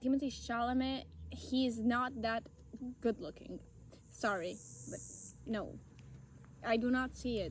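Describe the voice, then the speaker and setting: Speaking with an Italian accent, a woman uses a fairly high pitch with ordinary pitch variation at a fairly slow pace, pausing long and often. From Italy. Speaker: podcast co-host. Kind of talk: casual chat. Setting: outdoors in a forest.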